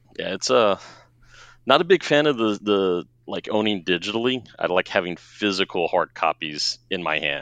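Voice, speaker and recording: A man with a plain, everyday voice speaks at a moderate pace and fairly low pitch, in a dry, close sound with no echo against a quiet background. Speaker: patron and guest co-host. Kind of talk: casual chat.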